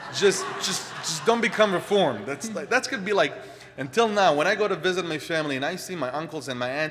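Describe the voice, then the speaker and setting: A man with an Israeli accent talks at a very fast pace with lively intonation. Noticeable background noise is present. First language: Hebrew. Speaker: congregant speaker. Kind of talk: personal talk. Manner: halting.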